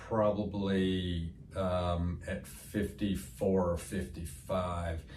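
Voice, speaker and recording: Music plays behind a man with an American accent whose very deep, low voice holds a fairly even intonation amid audible room echo. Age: 60s. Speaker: medical spa owner. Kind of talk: interview answer. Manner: halting, many fillers.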